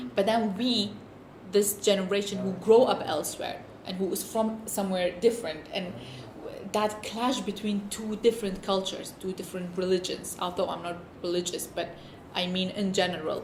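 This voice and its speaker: A woman speaks with a non-native accent at a moderate pace and fairly even intonation. The recording has audible room echo and noticeable background noise. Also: medium pitch for a woman. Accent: noticeable foreign. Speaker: documentary interviewee. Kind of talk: interview testimony. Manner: halting.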